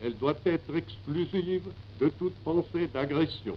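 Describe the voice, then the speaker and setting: At a very slow pace, a man with a fairly high pitch and vocal fry speaks with very wide pitch swings. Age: 80s+. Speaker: head of state, military marshal. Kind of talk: radio address to the nation. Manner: lively.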